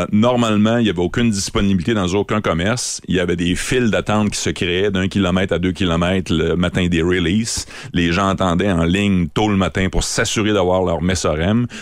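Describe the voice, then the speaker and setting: A man talks at a very deep, low pitch and a fairly quick pace. His loudness stays very even. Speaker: beer columnist. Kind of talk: radio chat. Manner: animated.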